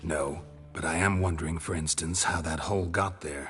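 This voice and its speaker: A man puts on a raspy character voice with a very deep, low pitch at a moderate pace. Clear music plays in the background. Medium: video game. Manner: low, dry, understated.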